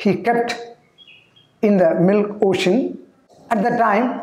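With a high pitch and ordinary pitch variation, a man speaks at a very slow pace in a room with audible echo. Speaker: yoga or spiritual teacher. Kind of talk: storytelling lecture. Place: studio. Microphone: lapel.

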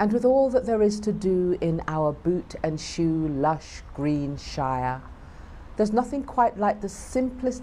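A woman speaks at a fairly slow pace with very wide pitch swings, over light background noise. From United Kingdom. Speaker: performance poet. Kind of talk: poetry reading. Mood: proud, warm.

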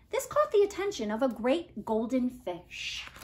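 Speaking at a fairly slow pace, a woman uses a fairly high pitch with big pitch swings.

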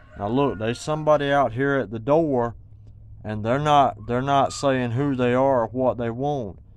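A man in a Southern US accent at medium pitch and moderate pace, with fairly even intonation and a dry sound free of echo. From Georgia, US South. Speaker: homeowner telling a story. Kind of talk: casual talk to camera. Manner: stutter. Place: home room. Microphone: phone near.

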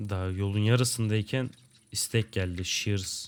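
A man speaks in a fairly low voice. His pace is moderate. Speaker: gaming youtuber. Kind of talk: gameplay commentary. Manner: casual, laughs often. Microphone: new microphone and headset.

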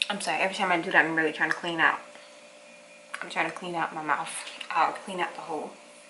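Monotone, flat intonation comes at a very fast pace over noticeable background noise. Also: woman, fairly low pitch for a woman. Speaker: vlogger. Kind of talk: casual vlog chat. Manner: muffled, careful speech after tooth surgery. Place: kitchen. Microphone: camera far.

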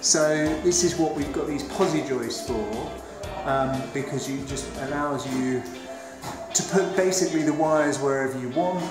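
Clear music plays in the background, and the room echo is audible. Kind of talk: casual walk-through commentary. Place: home room. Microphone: phone near.

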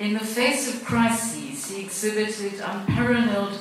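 Strong room echo surrounds a woman speaking at a moderate pace with ordinary pitch variation. Light background noise is present. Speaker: foundation chairperson. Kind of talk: prepared speech. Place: hall.

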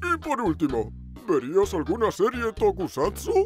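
Clear music plays in the background as someone speaks in a cartoonish character voice. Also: moderate pace. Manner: laid-back, wry.

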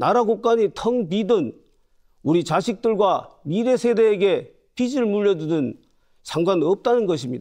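The voice has a dark, mellow tone, lively intonation and very even loudness. The background is quiet. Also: man. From South Korea, North Gyeongsang (Uljin); North Gyeongsang, South Korea. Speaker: parliamentary candidate; candidate. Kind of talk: campaign speech. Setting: studio. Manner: formal. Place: studio.

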